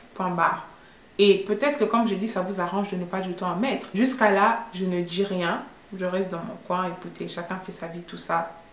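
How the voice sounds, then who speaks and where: A woman speaks fairly quickly at a medium pitch with ordinary pitch variation. Noticeable background noise and audible room echo fill the recording. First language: English (speaking French). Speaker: vlogger. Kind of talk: opinion vlog monologue. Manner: hesitant, many fillers.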